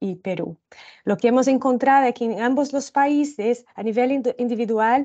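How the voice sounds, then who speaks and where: A woman speaks with a Brazilian accent at a fairly slow pace. Her pitch variation is ordinary, and the background is quiet. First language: Portuguese (speaking Spanish). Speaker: social protection researcher. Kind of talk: presentation of report findings. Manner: slow, deliberate; halting, many fillers.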